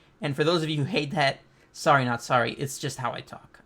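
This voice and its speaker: A fairly high-pitched man with ordinary pitch variation, in a very clean recording against a silent background. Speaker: manga reaction youtuber. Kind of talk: casual video review monologue. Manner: fast; rambling, repetitive.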